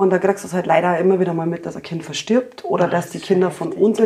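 Over noticeable background noise, a woman with a medium pitch speaks very fast with fairly even intonation. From Upper Bavaria. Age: 40s. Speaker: pediatric medical assistant. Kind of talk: casual chat.

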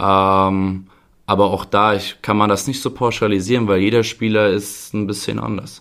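Captured on a very clean recording with a silent background, a man with a fairly low pitch speaks at a moderate pace in monotone, flat intonation. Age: 20s. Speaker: youth football coach. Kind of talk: podcast interview.

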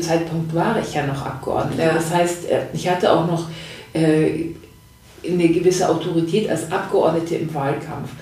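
Audible room echo and noticeable background noise surround a woman whose fairly low voice moves at a fairly slow pace. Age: 50s. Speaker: former member of parliament. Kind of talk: interview conversation. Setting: audio-only podcast.

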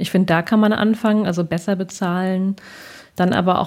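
The voice has a dark, mellow tone and moves at a moderate pace with monotone, flat intonation. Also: woman. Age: 30s. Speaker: author and columnist. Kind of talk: interview. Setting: improvised home studio, remote recording.

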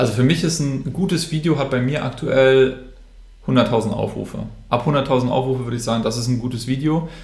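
At a fairly quick pace, a somewhat breathy voice speaks with ordinary pitch variation amid audible room echo. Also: man. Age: 20s. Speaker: social media influencer. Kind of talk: interview.

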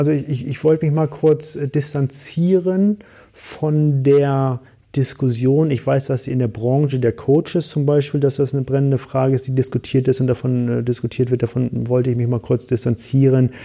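A man's dark, mellow tone, with fairly even intonation and a moderate pace. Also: medium pitch for a man. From Hamburg, northern Germany. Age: 40s. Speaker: business coach and mountaineer. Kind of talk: casual interview. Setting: studio in Frankfurt.

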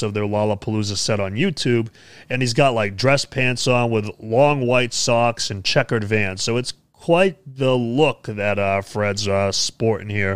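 This man has an ordinary speaking voice with an American accent. He talks at a moderate pace and medium pitch, with ordinary pitch variation. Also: hardly any pauses. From United States. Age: 20s. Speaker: music news show host and metalcore musician. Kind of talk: casual news commentary to camera. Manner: casual, many filler words.

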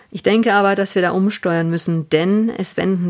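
This woman has a normal speaking voice. She talks at a moderate pace. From Swabia, Biberach. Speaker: TV news presenter. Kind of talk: interview conversation. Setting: remote recording from home.

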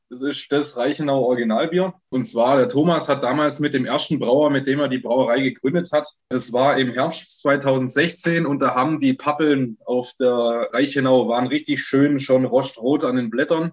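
Fairly high in pitch, a man with an unremarkable speaking voice keeps a fairly even intonation at a moderate pace with hardly any pauses. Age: 20s. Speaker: brewer. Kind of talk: podcast interview.

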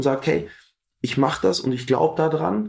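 With lively intonation, a man uses a plain, everyday voice at a medium pitch and a moderate pace. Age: 20s. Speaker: fitness trainer and coach. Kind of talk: interview.

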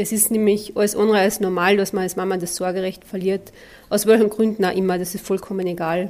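A woman's very fast, monotone, flat speech at medium pitch. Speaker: podcast host, mental trainer. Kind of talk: podcast monologue.

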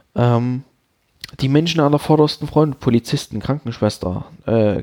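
In a dry, close recording with no echo, a man talks at medium pitch with a dark, mellow tone and ordinary pitch variation. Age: 30s. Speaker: podcast host. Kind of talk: solo monologue. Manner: halting.

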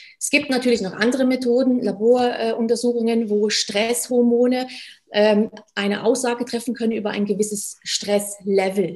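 Her pitch sits fairly high as the woman talks at a moderate pace, keeping her intonation fairly even. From Germany. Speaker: stress management coach, former medical worker. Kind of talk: interview.

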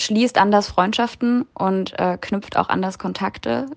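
A woman with an ordinary speaking voice, lively intonation and a moderate pace, against a quiet background. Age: 20s. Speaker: exchange student. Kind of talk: interview.

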